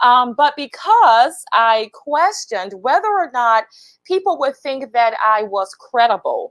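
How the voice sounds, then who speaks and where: With a Southern US accent, a woman talks at a fairly slow pace in a high pitch that makes very wide swings. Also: dry, close sound with no echo. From US South, Lower Alabama. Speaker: HR professional and speaker. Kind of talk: livestream talk. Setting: LinkedIn live video.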